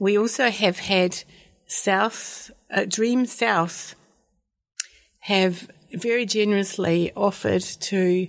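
Very slowly, a woman speaks at a medium pitch with a New Zealand accent. The recording is very clean with a silent background. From Dunedin, New Zealand. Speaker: community garden coordinator. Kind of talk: radio interview.

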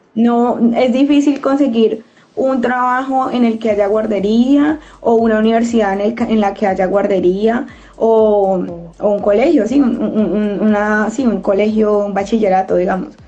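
In a room with audible echo, a woman with a fairly high, somewhat breathy voice and a dark, mellow tone speaks fairly slowly with ordinary pitch variation. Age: 30s. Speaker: community radio host. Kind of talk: casual discussion.

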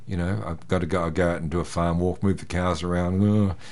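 A man speaks with a New Zealand accent. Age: 60s. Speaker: farm herdsman. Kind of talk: interview.

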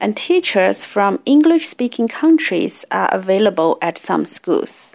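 A woman with a Chinese accent, fairly high in pitch, very slow, with very wide pitch swings. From China. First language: Mandarin Chinese. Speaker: community radio host. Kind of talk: radio talk presentation.

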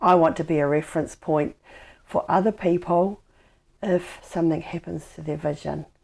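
On a very clean recording with a silent background, a woman talks at a moderate pace, her loudness swinging widely. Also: fairly low pitch for a woman, fairly even intonation. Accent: New Zealand. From New Zealand, Dunedin. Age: 50s. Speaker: blind advocate and motivational speaker. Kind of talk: interview. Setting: at home.

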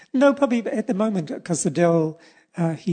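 In a New Zealand accent, a man speaks with a dark, mellow tone and ordinary pitch variation. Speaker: poet and artist. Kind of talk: casual interview.

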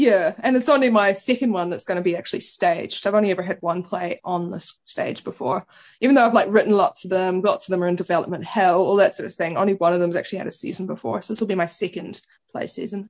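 The speaker talks very fast with ordinary pitch variation. The background is quiet. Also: woman, medium pitch for a woman. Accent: New Zealand. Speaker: playwright. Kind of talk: casual chat. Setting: radio studio.

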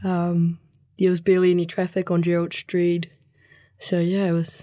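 Here a woman with a New Zealand accent talks at a fairly quick pace in a fairly low pitch. Her tone is dark and mellow, her intonation monotone and flat. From New Zealand (Canterbury, from age seven; born Mexico). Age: 20s. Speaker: youth community volunteer. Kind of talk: interview. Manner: casual, many fillers.

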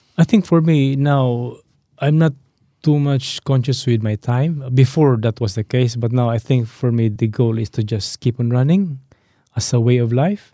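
A man's dark, mellow voice at medium pitch, with ordinary pitch variation and a moderate pace, recorded dry and close with no echo over a quiet background. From Philippines. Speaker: electronics engineer and amateur runner. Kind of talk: casual interview chat. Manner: friendly, hesitant with fillers.

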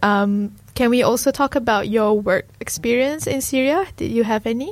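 A woman with an ordinary speaking voice talks at a moderate pace, her pitch fairly high with ordinary pitch variation. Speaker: radio host. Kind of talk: scripted narration. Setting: studio.

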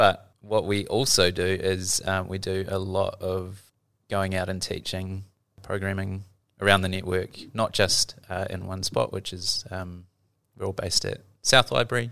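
A man with a New Zealand accent speaks at a fairly slow pace in a very deep, low pitch. His intonation is flat and monotone, and the recording is very clean with a silent background. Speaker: library learning specialist. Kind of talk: casual explanation.

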